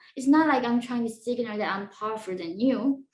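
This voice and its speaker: In a Korean accent, a woman speaks at a high pitch with ordinary pitch variation. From North Korea. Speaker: defector and former student. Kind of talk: interview. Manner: halting.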